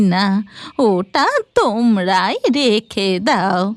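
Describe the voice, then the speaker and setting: A female-sounding cartoonish character voice speaks very slowly in a gentle tone. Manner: gentle, grandmotherly.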